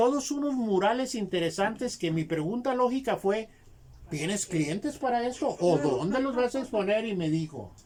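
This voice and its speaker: High-pitched male speech, moderately paced, its pitch swinging very widely, with background noise clearly audible. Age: 70s. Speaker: textile artisan. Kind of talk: interview storytelling.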